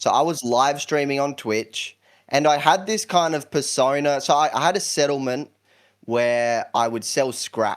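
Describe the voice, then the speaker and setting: Speaking at a fairly slow pace with a South Australian accent, a man with a fairly high pitch is heard on a very clean recording with a silent background. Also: ordinary pitch variation. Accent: South Australian, often mistaken for British. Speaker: YouTuber. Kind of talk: podcast interview.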